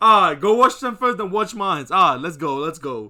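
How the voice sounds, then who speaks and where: A bright, sharp tone in a raised, projected voice. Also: man. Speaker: YouTube reactor. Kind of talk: casual reaction commentary. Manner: halting, many fillers.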